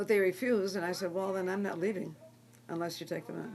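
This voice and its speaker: A woman talks at a fairly quick pace with ordinary pitch variation. Noticeable background noise sits behind her. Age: 80s+. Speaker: nun running a homeless shelter. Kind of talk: personal testimony. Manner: hesitant with fillers and restarts.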